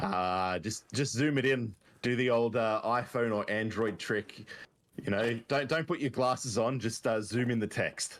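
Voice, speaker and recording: A man speaks with an Australian accent at a fairly slow pace. His loudness stays very even. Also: medium pitch for a man, ordinary pitch variation, very clean recording, silent background. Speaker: game tournament commentator. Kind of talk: live commentary.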